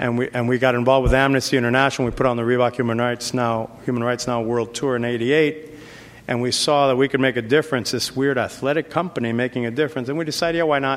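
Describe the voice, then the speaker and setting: Over noticeable background noise, someone talks very fast with an American accent and fairly even intonation. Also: man, medium pitch for a man. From New York City, South Bronx. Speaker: business executive. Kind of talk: lecture. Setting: stage with audience.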